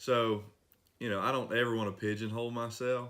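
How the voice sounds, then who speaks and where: A man speaks in an East Tennessee accent at a moderate pace. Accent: local east Tennessee. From US South, east Tennessee. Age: 30s. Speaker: singer-songwriter and mechanic. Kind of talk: interview. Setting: at his workplace.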